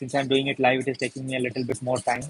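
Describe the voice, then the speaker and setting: A man talks at a fairly quick pace with a fairly high pitch. Music plays in the background. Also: dry, close sound with no echo. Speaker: paper craft tutor. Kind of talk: live craft tutorial.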